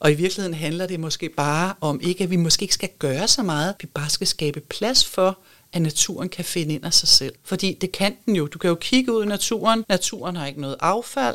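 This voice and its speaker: A woman's plain, everyday voice, fairly low in pitch, with ordinary pitch variation at a fairly quick pace. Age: 50s. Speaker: architect and sustainability advisor. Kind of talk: interview conversation. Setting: studio.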